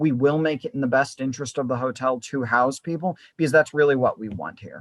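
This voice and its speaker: A man with a normal speaking voice talks at medium pitch with fairly even intonation. The sound is dry and close with no echo, over a quiet background. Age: young. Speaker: political activist and mayoral candidate. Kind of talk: interview answer.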